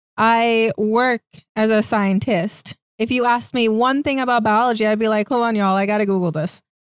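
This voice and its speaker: A woman with an unremarkable speaking voice talks at a moderate pace, her pitch fairly high and her intonation fairly even, at very even loudness. The sound is dry and close with no echo, in a very clean recording with a silent background. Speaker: co-host. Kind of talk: casual chat.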